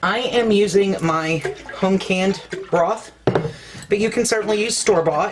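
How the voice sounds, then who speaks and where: A woman with an American accent and ordinary pitch variation, against noticeable background noise. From US South, Ozark Mountains of Arkansas. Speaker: cooking channel host. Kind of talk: cooking tutorial. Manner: casual, folksy.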